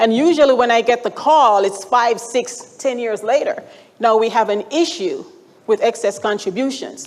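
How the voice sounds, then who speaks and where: A woman speaks with a Jamaican accent at a fairly high pitch. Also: ordinary pitch variation, moderate pace. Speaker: retirement account expert presenter. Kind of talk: conference presentation. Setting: stage with audience. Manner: conversational.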